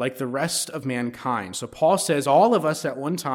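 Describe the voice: Ordinary pitch variation in plain reading aloud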